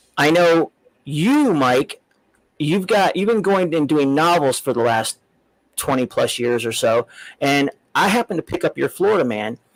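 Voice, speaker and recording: With an American accent and a fairly high voice, a man speaks with very wide pitch swings, very even loudness and long, frequent pauses, in a dry, close sound with no echo. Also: moderate pace. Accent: Southern US redneck. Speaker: comics podcast host. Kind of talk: casual interview chat.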